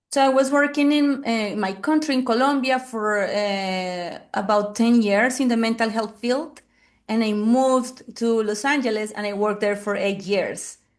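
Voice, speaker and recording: In a Spanish accent, a woman with a fairly high voice speaks at a moderate pace with ordinary pitch variation over a quiet background. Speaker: family therapist. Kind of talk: interview. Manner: halting.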